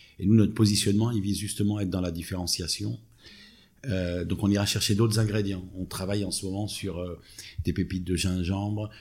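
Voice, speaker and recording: This man talks fairly quickly in a fairly low register, his intonation staying fairly even. He has an unremarkable speaking voice. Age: 50s. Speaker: startup co-founder. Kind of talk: interview. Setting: in person at company office.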